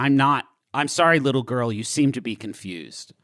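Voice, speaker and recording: A man's put-on character voice at medium pitch, fairly quick, with ordinary pitch variation on a very clean recording with a silent background. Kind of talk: comic improvised role-play. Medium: solo performance.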